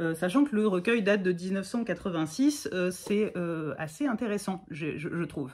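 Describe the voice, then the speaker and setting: Her pitch is medium and her intonation lively. The woman speaks at a very slow pace. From Provence, Bouches-du-Rhône (Martigues); Provence. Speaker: content creator talking about poetry. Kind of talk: casual chat. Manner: halting, many hesitations. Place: home room. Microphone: phone near.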